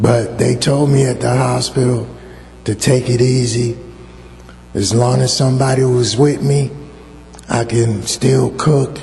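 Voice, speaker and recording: A man's medium-pitched voice at a fairly slow pace, with fairly even intonation, very even loudness, long, frequent pauses, noticeable background noise and audible room echo. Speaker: church member, stroke survivor. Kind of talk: testimony. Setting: church with congregation, microphone. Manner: halting.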